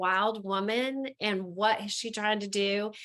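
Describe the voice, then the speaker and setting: Fairly slow and fairly high-pitched, a woman speaks in an Appalachian accent. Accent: Southern US, Appalachian. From Southern United States. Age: 50s. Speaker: entrepreneur, author. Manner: candid, humorous.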